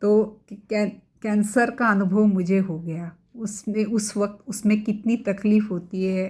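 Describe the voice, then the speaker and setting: Against a silent background on a very clean recording, a woman speaks with a Marathi accent at a medium pitch. Her somewhat breathy voice has a dark, mellow tone and flat, monotone intonation. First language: Marathi (speaking Hindi). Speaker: cancer survivor sharing her story. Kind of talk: personal testimony. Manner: halting, many fillers.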